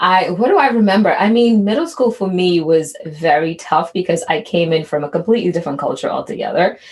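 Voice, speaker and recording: Somewhat breathy and at a very even loudness, a woman talks at a fairly quick pace with hardly any pauses. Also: medium pitch for a woman, ordinary pitch variation. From immigrated to the US as a child. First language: not English. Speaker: podcast co-host. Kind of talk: casual chat.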